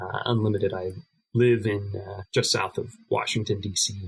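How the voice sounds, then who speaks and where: In an American accent, a man speaks at a moderate pace with a fairly low pitch, a somewhat breathy voice and flat, monotone intonation. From United States. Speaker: card game player. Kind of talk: podcast interview.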